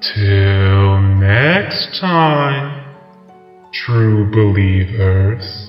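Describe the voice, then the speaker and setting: A man uses a put-on character voice with fairly low pitch, a slight echo and faint music playing behind. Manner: cruel, mocking.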